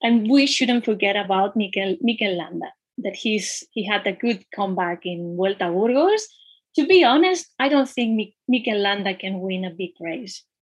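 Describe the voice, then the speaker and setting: With a Spanish accent, a woman speaks in a somewhat breathy voice at medium pitch and a moderate pace, her intonation lively. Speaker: cycling magazine editor. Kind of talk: interview.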